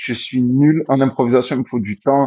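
Using a normal speaking voice, a man speaks at a fairly slow pace with a medium pitch and fairly even intonation. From Marseille, southern France. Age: 30s. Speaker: rapper. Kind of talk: casual interview chat.

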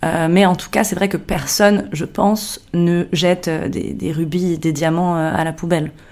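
A woman's fairly low pitch at a fairly slow pace, fairly even in intonation, over noticeable background noise. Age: 30s. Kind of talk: interview.

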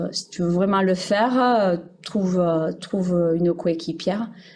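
A woman talks very slowly, at medium pitch, with fairly even intonation. There is noticeable background noise. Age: 40s. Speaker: primary school teacher. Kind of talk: casual interview.

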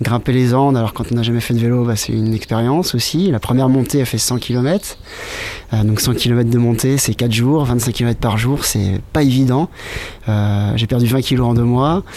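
A man speaks at a medium pitch and moderate pace, with ordinary pitch variation and very even loudness. Noticeable background noise is present. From Brittany, France. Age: 30s. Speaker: visual artist and long-distance cyclist. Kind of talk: interview.

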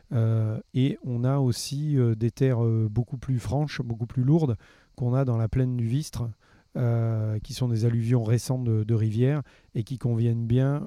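This man speaks at a medium pitch with fairly even intonation. His pace is fairly slow. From southern France, Gard near Nîmes. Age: 50s. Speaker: winegrower and fruit farmer. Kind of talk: interview. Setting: outdoors in a park. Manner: halting, many fillers and repetitions.

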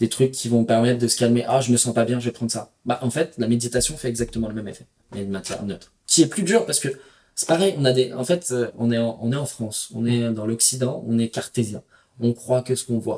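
A man talks at a fairly quick pace in a medium pitch. His tone is dark and mellow, and somewhat breathy. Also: ordinary pitch variation. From Paris region, Val-d'Oise. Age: 30s. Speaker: entrepreneur and traveler. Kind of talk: casual interview.

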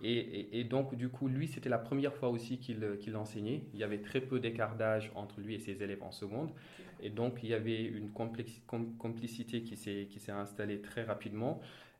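A man speaks at a moderate pace and medium pitch with fairly even intonation. Audible room echo is present. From Senegal (Thiès). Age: 30s. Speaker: audit and finance manager. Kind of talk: interview. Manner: halting, many repetitions and fillers.

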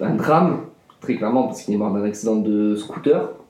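Audible room echo and noticeable background noise surround this recording. The man's voice sits at a fairly low pitch. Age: 20s. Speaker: student. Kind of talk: testimony. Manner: halting, with many fillers and repetitions.

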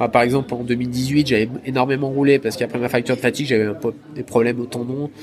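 A man at a very fast pace and medium pitch, monotone and flat in intonation, over noticeable background noise. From southern Isère, French Alps. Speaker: trail runner. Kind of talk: interview. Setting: at a race finish.

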